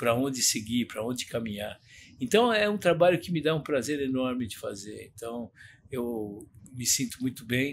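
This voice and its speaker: A plain, everyday voice with lively intonation moves at a moderate pace. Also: man, medium pitch for a man. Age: 60s. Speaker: retired mentor of young people. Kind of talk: podcast interview.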